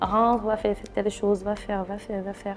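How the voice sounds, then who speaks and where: In an ordinary speaking voice, a woman with a medium pitch talks at a moderate pace. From Cameroon. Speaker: talk show host. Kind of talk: interview.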